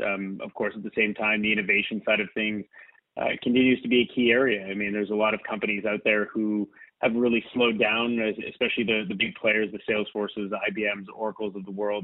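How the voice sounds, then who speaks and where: A man speaks at a very fast pace with a fairly low pitch. His intonation is monotone and flat. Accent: Canadian. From northern Ontario, Canada. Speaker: tech company CEO. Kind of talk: interview. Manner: hesitant, many fillers.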